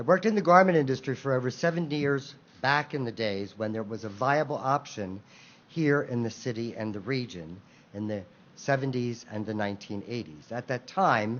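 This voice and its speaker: A man with a plain, everyday voice speaks with an American accent at a moderate pace, his intonation lively. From Philadelphia. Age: 50s. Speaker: small business owner. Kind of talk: public speech.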